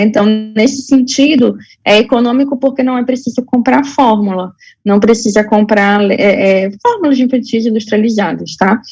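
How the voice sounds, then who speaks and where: At a moderate pace, a woman speaks with fairly high pitch and ordinary pitch variation. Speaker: health educator. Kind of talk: lecture. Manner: halting, many fillers.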